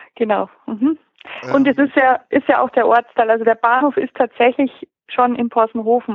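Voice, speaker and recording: The speaker uses a normal speaking voice with fairly even intonation at a moderate pace. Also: woman. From Upper Bavaria, Pöcking on Lake Starnberg. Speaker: crime novelist. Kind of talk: interview.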